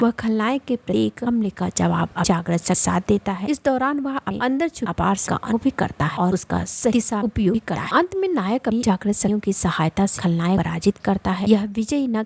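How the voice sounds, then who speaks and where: Over noticeable background noise, a woman of medium pitch speaks with lively intonation in a dry, close sound with no echo. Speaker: voice-over narrator. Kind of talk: anime recap narration.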